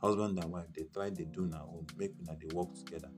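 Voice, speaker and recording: Music plays in the background as a man talks at a very deep, low pitch. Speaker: Pidgin English talk show host. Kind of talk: casual talk to camera. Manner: humorous.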